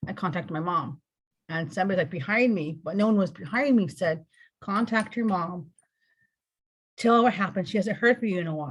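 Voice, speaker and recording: A woman with an American accent speaks at a medium pitch, somewhat breathy, using lively intonation and long, frequent pauses. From California. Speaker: spiritual interview guest. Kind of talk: personal testimony. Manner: rambling, halting.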